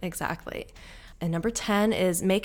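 Her pitch is fairly low, and she has an unremarkable speaking voice. This woman talks at a fairly quick pace with fairly even intonation. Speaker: podcast co-host. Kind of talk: casual chat between sisters. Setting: recording from Lisbon with street noise.

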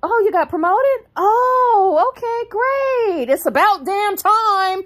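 A woman in a put-on character voice speaks at a fairly slow pace with extremely high pitch. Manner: sarcastic, backhanded compliment.

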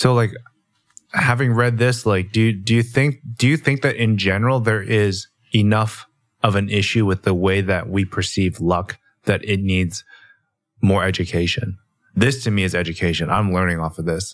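A man with a Canadian accent speaks in a normal speaking voice, pitched fairly low. His pace is moderate and his pitch varies in an ordinary way. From Canada. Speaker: podcast co-host. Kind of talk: casual chat.

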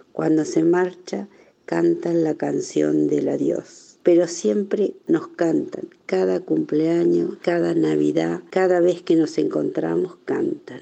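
A woman speaks at a very slow pace with hardly any pauses. Her loudness stays very even. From Argentina, Tandil (born in Navarre, arrived as a baby). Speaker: Basque immigrant. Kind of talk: personal testimony.

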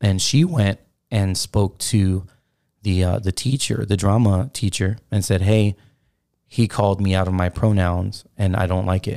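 On a very clean recording with a silent background, a man speaks in a normal speaking voice at a fairly low pitch. His pace is fairly slow, his intonation fairly even and his loudness very even. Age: 30s. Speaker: podcast co-host. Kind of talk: casual chat.

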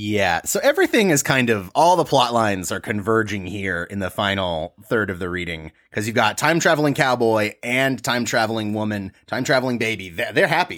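A man with a normal speaking voice and medium pitch talks at a moderate pace with lively intonation and hardly any pauses, in a very clean recording with a silent background. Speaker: romance book podcast co-host. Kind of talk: casual comedic chat with sketch bits. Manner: playful, jokey.

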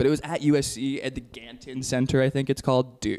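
A man talks at a very fast pace with vocal fry. His pitch is medium. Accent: American. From Texas. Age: 20s. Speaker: film student. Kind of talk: casual chat. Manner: animated.

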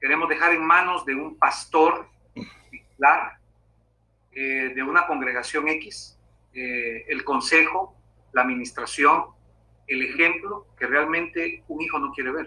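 Fairly high male speech, fairly slow, with long, frequent pauses and ordinary pitch variation. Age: 50s. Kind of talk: interview.

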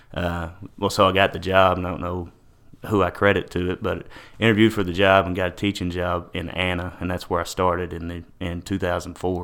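In a Texan accent, a man with a very deep, low pitch talks at a fairly quick pace in a monotone, flat intonation. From Texas, Paris. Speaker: teacher and coach. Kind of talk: casual chat.

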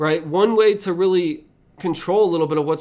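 A man with a high pitch and ordinary pitch variation is heard in a very clean recording with a silent background. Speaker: podcast host and leadership consultant. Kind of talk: solo motivational talk. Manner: animated, conversational; slight stutter on certain words.

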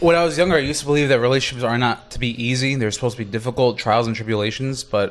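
A man speaking at a very fast pace with ordinary pitch variation, music playing in the background. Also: medium pitch for a man, hardly any pauses. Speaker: podcast co-host. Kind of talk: casual chat. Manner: animated.

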